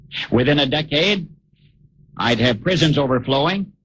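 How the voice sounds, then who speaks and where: A man's somewhat breathy voice at a moderate pace. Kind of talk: radio commentary essay reading.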